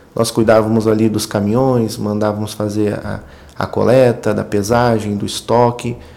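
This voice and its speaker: A man speaks in a flat monotone at a fairly low pitch, with noticeable background noise. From rural Rio Grande do Sul, Brazil (German colony area). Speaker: sales manager at recycling software company. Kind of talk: casual interview. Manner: halting, repeats words.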